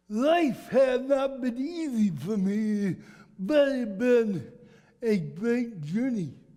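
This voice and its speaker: An extremely high-pitched male voice with a dark, mellow tone and lively intonation, at a very slow pace, with audible room echo. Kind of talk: talk to a church group.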